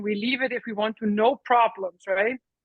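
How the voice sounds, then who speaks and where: A woman's fairly high voice with an Icelandic accent and fairly even intonation. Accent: non-American, Icelandic. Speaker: workshop participant. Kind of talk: casual chat.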